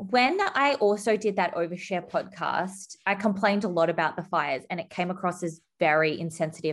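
Hardly pausing, a woman with an Australian accent talks at a fairly quick pace with ordinary pitch variation. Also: medium pitch for a woman. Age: 30s. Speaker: podcaster and wedding guest interviewee. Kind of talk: casual interview chat. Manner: animated, dramatic, laughs often.

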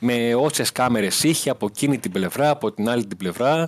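In an ordinary speaking voice, a man talks at a fairly quick pace with medium pitch and ordinary pitch variation, in a dry, close sound with no echo. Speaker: football reporter. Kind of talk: sports report by phone.

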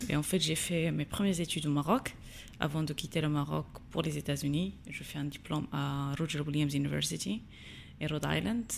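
With vocal fry and a very deep, low pitch, a woman speaks at a moderate pace with ordinary pitch variation. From Morocco, Agadir. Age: 20s. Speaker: social entrepreneur. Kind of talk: interview. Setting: studio. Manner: halting, many hesitations.

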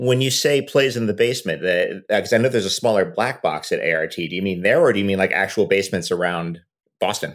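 At a very fast pace, a man with a fairly low pitch speaks with ordinary pitch variation. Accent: American. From New York. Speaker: podcast host and actor. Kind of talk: interview.

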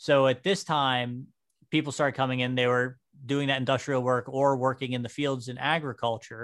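A man speaks in an unremarkable speaking voice at medium pitch and a moderate pace, with fairly even intonation. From western Pennsylvania (New Castle). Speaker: podcast host, amateur historian. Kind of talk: casual podcast chat about history.

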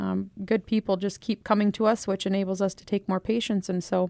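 A woman speaks at a medium pitch in a flat monotone, her sound dry and close with no echo. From South Dakota. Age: 30s. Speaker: home health business owner. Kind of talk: interview.

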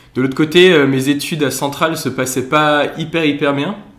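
Audible room echo is present. A man speaks at a moderate pace. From Alsace, France. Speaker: former engineering student, brass band member. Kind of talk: casual interview chat.

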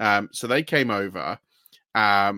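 Recorded very cleanly with a silent background and a dry, close sound with no echo, a man with a British accent speaks in a bright, sharp tone. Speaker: podcast host. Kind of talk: casual chat.

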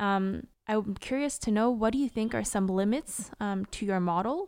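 Very clean recording with a silent background: a woman's unremarkable speaking voice at medium pitch and moderate pace. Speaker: podcast host. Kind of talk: interview.

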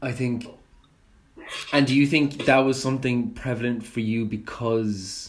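Against noticeable background noise, a man with a medium-pitched voice speaks at a fairly slow pace, with fairly even intonation and long, frequent pauses. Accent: Irish. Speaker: podcast host. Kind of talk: casual interview.

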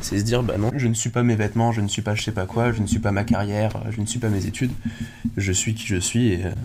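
Delivered at a very fast pace in a monotone, flat intonation, the speech comes with noticeable background noise and audible room echo. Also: man, fairly low pitch for a man. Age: 20s. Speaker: guest sharing life experience. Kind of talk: casual chat.

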